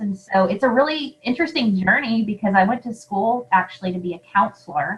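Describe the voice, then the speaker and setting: A woman with a Southern US accent, fairly high pitch, lively intonation and a fairly quick pace. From US South. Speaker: podcast host. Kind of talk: casual interview chat.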